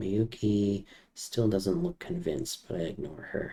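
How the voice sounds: This is a natural reading voice. It is read aloud.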